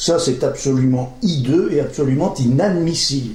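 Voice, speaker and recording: Heard through audible room echo and noticeable background noise, a man speaks at a very slow pace. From northern France, Pas-de-Calais. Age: 60s. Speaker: local election candidate. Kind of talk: political campaign speech. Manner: informal, conversational.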